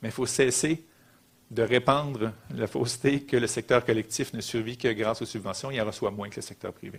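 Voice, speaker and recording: The recording is very clean, with a silent background. The intonation stays fairly even. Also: man. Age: 40s. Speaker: social economy executive, lecturer. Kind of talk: lecture. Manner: fast.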